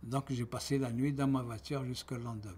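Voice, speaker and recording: A somewhat breathy man with fairly even intonation on a very clean recording with a silent background. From Algeria. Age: 70s. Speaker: retiree giving testimony. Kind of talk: testimony. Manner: halting.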